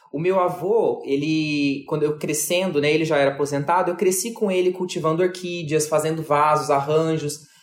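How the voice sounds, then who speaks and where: A man speaks at a moderate pace with fairly high pitch and fairly even intonation. He leaves hardly any pauses, and there is noticeable background noise. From Brazil, Mato Grosso. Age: 30s. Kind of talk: interview.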